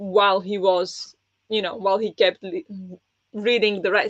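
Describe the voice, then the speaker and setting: A woman with a non-native accent, medium pitch, moderate pace and monotone, flat intonation. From small poor country. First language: not English. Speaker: book club host and book video creator. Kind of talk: live-streamed book discussion, reading chat comments. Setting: live stream with chat. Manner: casual, hesitant with fillers.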